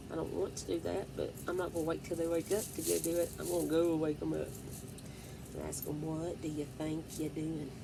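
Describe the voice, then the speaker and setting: Audible room echo around a woman's fairly quick pace. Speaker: vlogger. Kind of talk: casual chat. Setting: home at night. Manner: loud; whispering.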